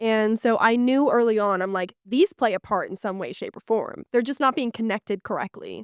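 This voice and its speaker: At a moderate pace and with hardly any pauses, a loud speaker with an American accent uses ordinary pitch variation. The recording is very clean with a silent background, and the sound is dry and close with no echo. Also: woman, fairly high pitch for a woman. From Pittsburgh area, western Pennsylvania. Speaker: fashion tech founder. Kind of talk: podcast interview.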